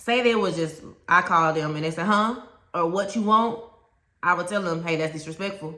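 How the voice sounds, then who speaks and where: With a Southern US accent, a woman talks at a medium pitch with ordinary pitch variation. Audible room echo surrounds her voice. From US South. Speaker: teacher and education coach. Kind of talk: educational talk to camera. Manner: conversational, direct.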